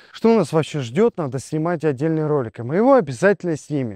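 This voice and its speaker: Against a quiet background and in a dry sound with no echo, a man with a fairly high pitch and dark, mellow tone speaks with lively intonation. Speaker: agribusiness video blogger. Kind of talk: casual news commentary. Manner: animated. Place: garden.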